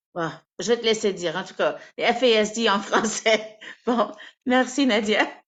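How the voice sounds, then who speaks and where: Big swings in loudness and long, frequent pauses mark a woman's fairly slow, fairly high-pitched speech with ordinary pitch variation. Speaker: adoption support coordinator. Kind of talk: webinar announcements. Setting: video call.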